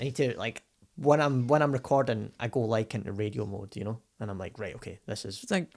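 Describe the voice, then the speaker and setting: A man at a fairly quick pace, medium in pitch, with ordinary pitch variation and big swings in loudness. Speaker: radio presenter.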